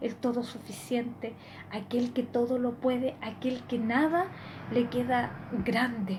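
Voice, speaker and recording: Against audible room echo, a high-pitched woman speaks at a fairly slow pace in a monotone, flat way. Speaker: lay preacher. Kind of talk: sermon.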